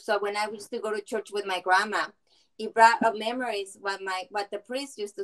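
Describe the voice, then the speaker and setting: Speaking fairly quickly with a Spanish accent, a woman keeps a fairly high pitch and fairly even intonation. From Mexico. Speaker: film viewer giving comments. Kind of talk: panel discussion comments. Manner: halting.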